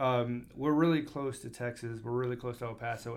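A man with an American accent speaks at a medium pitch and moderate pace, monotone and flat, over noticeable background noise. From US South, Alabama. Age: 30s. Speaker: car salesman, podcast host, Air Force veteran. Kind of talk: casual business podcast.

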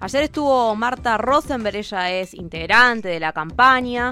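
A bright, sharp tone at a moderate pace. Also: woman. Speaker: community radio co-host. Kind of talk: live radio interview and commentary.

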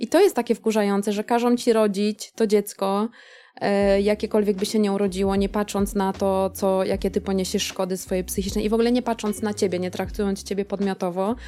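A woman talks at a very fast pace in a dark, mellow tone. Her intonation stays monotone and flat. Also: medium pitch for a woman. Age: 40s. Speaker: teacher. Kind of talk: casual chat.

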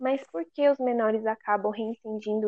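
An ordinary speaking voice: a woman with a fairly high pitch, talking at a moderate pace with fairly even intonation. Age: 20s. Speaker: law graduate. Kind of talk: casual chat.

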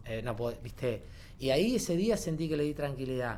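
Audible room echo surrounds a man's fairly high voice. His intonation is lively. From Argentina, Córdoba province (Corral de Bustos). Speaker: actor and creative theatre teacher. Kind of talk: casual chat.

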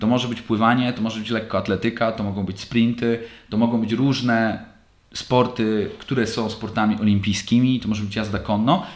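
The speaker is a man with a medium pitch. His intonation stays monotone and flat. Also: fairly quick pace. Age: 30s. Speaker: podcast host, lacrosse player. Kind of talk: solo monologue podcast. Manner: casual, halting with fillers.

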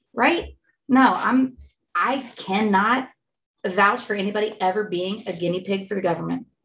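At a moderate pace with ordinary pitch variation, this is an unremarkable speaking voice. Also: woman, medium pitch for a woman. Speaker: guest, mother. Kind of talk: casual chat.

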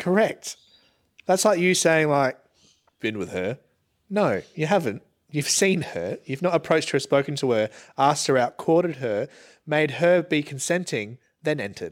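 Long, frequent pauses mark the speech of a man with a fairly high pitch and lively intonation, on a very clean recording with a silent background. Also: moderate pace. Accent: Australian. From Australia, Geelong, Victoria. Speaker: content creator, podcast co-host. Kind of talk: casual chat. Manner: quiet.

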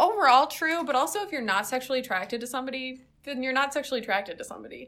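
Bright and sharp in tone, a woman with an American accent talks at a very fast pace and a high pitch. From South Carolina. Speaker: podcast co-host. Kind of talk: casual chat.

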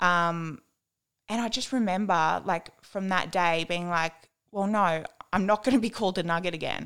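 A woman with an Australian accent, medium pitch and ordinary pitch variation, at a moderate pace, in a very clean recording with a silent background. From New South Wales, Australia (Dubbo, Warren). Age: 20s. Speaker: guest sharing eating disorder recovery. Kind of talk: testimony.

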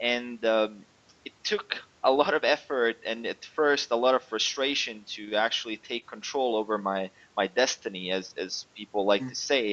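With a non-native accent, a man talks in a medium register. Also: ordinary pitch variation, moderate pace. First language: not English. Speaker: online fitness coach. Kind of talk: interview. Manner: halting.

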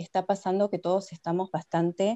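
At a moderate pace and medium pitch, a woman talks in an ordinary speaking voice. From Argentina. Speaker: nutritionist. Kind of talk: interview. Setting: video call.

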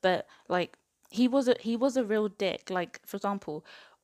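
A woman with an English accent talks with ordinary pitch variation, the sound dry and close with no echo on a very clean recording with a silent background. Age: 20s. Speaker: book podcast host. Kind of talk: casual solo book review.

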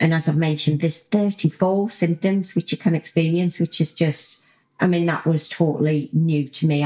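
A woman speaks in a British accent with a dark, mellow tone and fairly low pitch. Her loudness stays very even, her intonation fairly even, and her pace moderate. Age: 40s. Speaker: podcast host, lifestyle coach. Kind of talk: solo podcast monologue.

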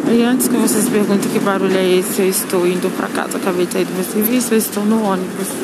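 A woman's very fast speech at medium pitch with ordinary pitch variation, amid noticeable background noise and audible room echo. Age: 20s. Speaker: podcaster. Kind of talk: personal vlog monologue. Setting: on a bus. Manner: hesitant.

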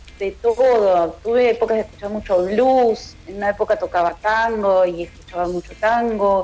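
A woman with a Buenos Aires accent, fairly high in pitch, with fairly even intonation. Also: moderate pace, hardly any pauses. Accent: Rioplatense Spanish (Buenos Aires). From Argentina, western Greater Buenos Aires (Ituzaingó). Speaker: singer-songwriter and guitarist. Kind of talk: radio interview. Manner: hesitant, repeats words.

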